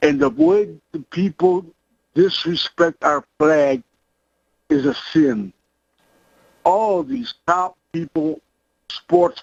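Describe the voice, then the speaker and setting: A man talks at a high pitch. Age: 70s. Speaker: caller, Vietnam veteran. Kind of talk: call-in comment. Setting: phone call. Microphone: too quiet.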